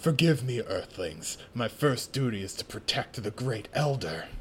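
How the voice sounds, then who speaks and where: A man puts on a character voice at a medium pitch. He keeps a moderate pace over clear background noise. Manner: stern, dutiful.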